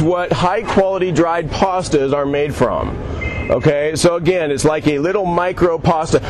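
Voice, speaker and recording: Loud and high-pitched, a man speaks at a moderate pace with ordinary pitch variation, with audible room echo and noticeable background noise. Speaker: chef. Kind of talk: live cooking demo. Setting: outdoors at a farmers' market, live audience.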